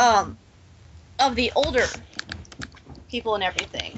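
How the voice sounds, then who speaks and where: A woman's fairly high-pitched voice with vocal fry, an American accent and ordinary pitch variation. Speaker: fan podcast co-host. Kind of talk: casual group chat.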